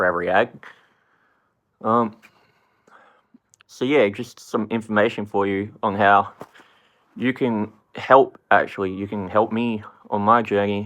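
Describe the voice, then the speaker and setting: A man with an American accent speaks at a fairly low pitch and a fairly slow pace. His tone is bright, sharp, and animated. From Australia. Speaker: rapper. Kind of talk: casual vlog talk. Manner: casual, swearing-filled and animated.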